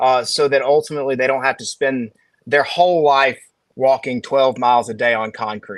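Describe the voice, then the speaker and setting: A man speaks with a Southern US accent. His pitch is medium and his intonation fairly even. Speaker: financial advisor. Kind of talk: casual chat.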